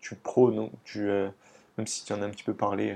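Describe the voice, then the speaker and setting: A man's fairly low voice with a dark, mellow tone. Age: 20s. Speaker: podcast host, sports enthusiast. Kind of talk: interview. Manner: hesitant, many fillers.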